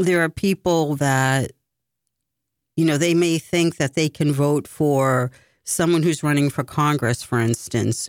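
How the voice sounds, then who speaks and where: At a fairly slow pace and very even loudness, the speech comes through a dry, close sound with no echo on a very clean recording with a silent background. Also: woman, very deep, low pitch for a woman, ordinary pitch variation. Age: 50s. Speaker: political candidate and radio producer. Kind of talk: radio interview.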